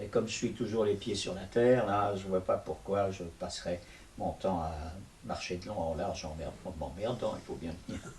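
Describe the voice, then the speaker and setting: At a moderate pace, a man speaks in a somewhat breathy voice with a fairly low pitch and ordinary pitch variation. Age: 80s+. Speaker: stage actor and puppeteer. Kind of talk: interview. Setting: video interview. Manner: halting.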